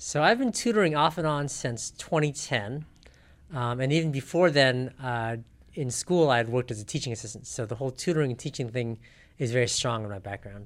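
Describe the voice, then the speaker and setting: A man's plain, everyday voice in an American accent, medium in pitch, at a fairly quick pace with ordinary pitch variation. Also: very clean recording, silent background. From South Pasadena, California. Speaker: math tutor and self-defense instructor. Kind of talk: interview.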